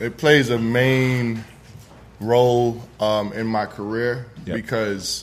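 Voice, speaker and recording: Amid noticeable background noise and audible room echo, a man with a New York accent speaks at medium pitch, very slowly and in a monotone, flat way, with long, frequent pauses. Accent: New York (Bronx) English. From New York, the Bronx. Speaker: chef. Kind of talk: casual interview before live audience. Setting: room with standing audience. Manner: halting, many fillers.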